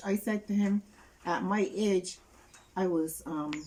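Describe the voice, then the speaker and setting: Very slow speech from a woman at a medium pitch, with ordinary pitch variation. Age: 70s. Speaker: interviewee, caregiver of sick relative. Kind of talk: interview testimony.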